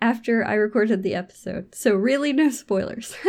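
Talking at a fairly quick pace, a woman has an unremarkable speaking voice with fairly high pitch and ordinary pitch variation. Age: 30s. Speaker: book podcast host. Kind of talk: casual chat.

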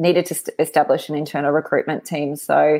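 A woman speaks with an Australian accent. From Brisbane, Australia. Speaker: recruitment consultant. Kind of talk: casual interview chat.

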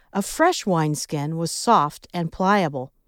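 The speaker has a Midwestern US accent, heard in a very clean recording with a silent background. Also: woman, dry, close sound with no echo. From US Midwest. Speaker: devotional podcast host. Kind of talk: devotional reflection.

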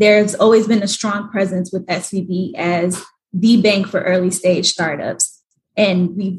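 A woman with an American accent speaks at a fairly slow pace in a medium, somewhat breathy voice with monotone, flat intonation. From Atlanta, US South. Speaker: startup banker. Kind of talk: interview.

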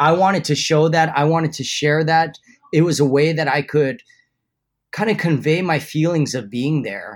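A man with a Hawaiian accent, fairly high in pitch, at a moderate pace, with ordinary pitch variation. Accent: Hawaiian American. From Hawaii, Honolulu. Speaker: surf photographer. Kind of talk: interview.

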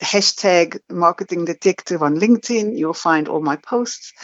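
In a South African accent, a woman talks at a moderate pace. Her pitch is fairly low. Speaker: marketing agency founder. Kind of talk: casual interview chat.

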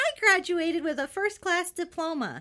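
At a moderate pace, a female-sounding voice puts on a character voice with an extremely high pitch.

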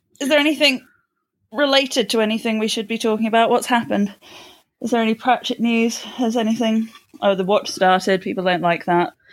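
On a very clean recording with a silent background, a woman speaks fairly quickly in a plain, everyday voice, fairly high in pitch, with ordinary pitch variation. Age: 20s. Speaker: podcast co-host. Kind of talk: casual chat.

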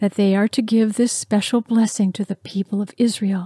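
On a very clean recording with a silent background, a woman with a fairly high pitch sounds somewhat breathy, her tone warm and solemn. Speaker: devotional speaker. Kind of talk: fervent prayer and spoken blessing, declared over the listener. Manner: earnest, warm, solemn.

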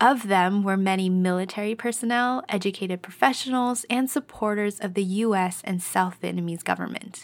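A woman speaks in a normal speaking voice with a Canadian accent. Her pitch is medium with ordinary variation, and her pace is moderate. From Canada. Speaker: podcast host. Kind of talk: scripted informational narration; solo personal monologue.

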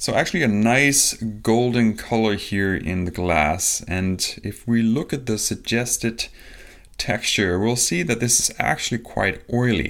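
A man speaks at a fairly slow pace on a very clean recording with a silent background. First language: not English. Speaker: podcast host, spirits reviewer. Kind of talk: solo tasting review monologue. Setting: home recording on video. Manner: casual, hesitant with fillers.

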